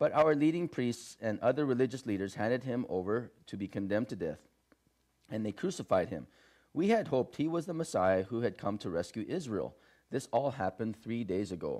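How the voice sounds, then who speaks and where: At a fairly quick pace, a dark, mellow voice swings very widely in pitch against a quiet background. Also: man, medium pitch for a man. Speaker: pastor. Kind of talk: sermon. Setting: church.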